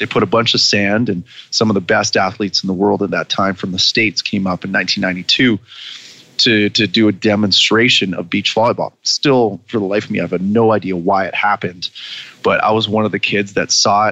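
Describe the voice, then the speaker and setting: In a Canadian accent, a man speaks with a fairly low pitch and monotone, flat intonation. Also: fairly quick pace. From Canada. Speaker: former Olympic beach volleyball player and coach. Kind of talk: casual interview.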